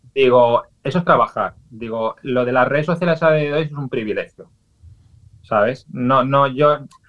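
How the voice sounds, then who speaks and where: Here is a man with an unremarkable speaking voice, pitched fairly high. He talks at a fairly slow pace with ordinary pitch variation. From Valencia, Spain. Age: 40s. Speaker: social media influencer. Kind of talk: radio interview.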